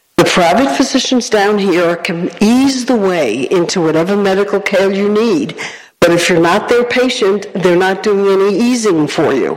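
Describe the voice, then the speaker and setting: Over noticeable background noise, a woman talks at a moderate pace with very even loudness and hardly any pauses. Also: medium pitch for a woman, ordinary pitch variation. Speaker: audience member, Red Cross volunteer. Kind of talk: audience comment. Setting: stage with audience.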